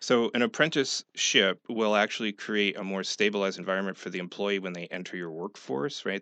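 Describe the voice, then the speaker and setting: Using a plain, everyday voice, a man speaks at a moderate pace with fairly even intonation. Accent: American. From upstate New York. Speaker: business consultant. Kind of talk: radio interview.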